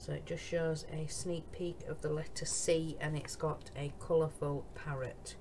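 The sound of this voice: Speaking fairly slowly in a Yorkshire accent, a woman keeps a low pitch with little pitch movement.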